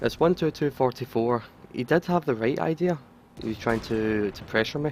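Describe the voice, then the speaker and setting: Noticeable background noise fills this recording. Through it, a man talks. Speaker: gaming commentator. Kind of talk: game replay commentary. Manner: slightly stuttering.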